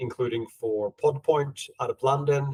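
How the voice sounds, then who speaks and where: Fairly even intonation marks this man's somewhat breathy voice with a Swedish accent. The sound is dry and close, with no echo. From Sweden. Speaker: podcast host, consultant. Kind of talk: podcast interview. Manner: halting, repeats words.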